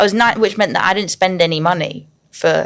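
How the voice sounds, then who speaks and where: Southern English accent at a fairly quick pace. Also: woman. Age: 20s. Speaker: singer. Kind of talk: casual chat. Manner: animated.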